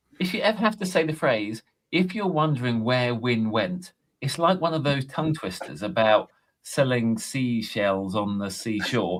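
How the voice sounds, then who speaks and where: Pitched in the middle range, a man's voice moves through very wide pitch swings. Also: moderate pace. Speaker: podcast co-host. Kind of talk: casual chat.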